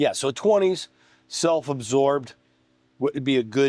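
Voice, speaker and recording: At a fairly slow pace, a man speaks with a dark, mellow tone and a fairly high pitch. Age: 60s. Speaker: guest on coaching podcast. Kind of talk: casual chat.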